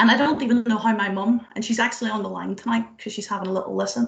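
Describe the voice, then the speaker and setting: Her speech races along at a very fast pace in a Northern Irish accent. This woman's voice has vocal fry. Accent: Derry Northern Irish. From Northern Ireland, Derry. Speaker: tech engineering manager, speaker. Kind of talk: motivational talk. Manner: animated, conversational. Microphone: fragile internet connection.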